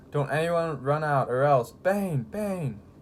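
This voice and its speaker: A man's put-on character voice, raspy and fairly high-pitched, with ordinary pitch variation, a fairly slow pace and clear background noise. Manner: threatening.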